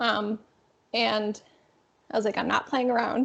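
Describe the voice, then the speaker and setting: A woman is speaking. Her pace is fairly quick. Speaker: lupus coach. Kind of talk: casual interview.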